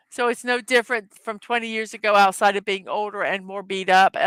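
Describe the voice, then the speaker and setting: This speaker has a Southern US accent and a fairly quick pace. The intonation is fairly even, and the sound is dry and close with no echo. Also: woman, fairly high pitch for a woman. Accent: Southern American. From Southern United States.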